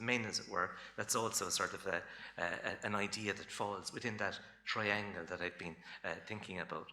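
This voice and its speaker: Audible room echo surrounds a man speaking with a Cork accent. His fairly low voice has a bright, sharp tone. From Ireland, Cork. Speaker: folklore lecturer. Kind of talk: lecture. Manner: casual, with many fillers.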